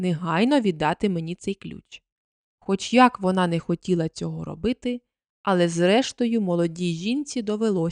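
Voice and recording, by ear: Reading aloud in a natural voice over a quiet background.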